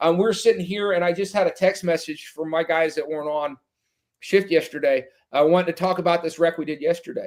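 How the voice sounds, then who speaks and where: Loud and high-pitched, a man talks at a fairly quick pace with fairly even intonation. The recording is very clean, with a silent background. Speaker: firefighter officer and extrication guest. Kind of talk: casual podcast interview.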